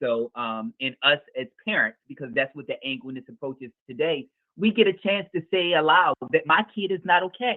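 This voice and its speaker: A man's high-pitched, animated voice with very wide pitch swings, big swings in loudness and hardly any pauses. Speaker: mental health practitioner, parent. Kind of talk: podcast interview. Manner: fast.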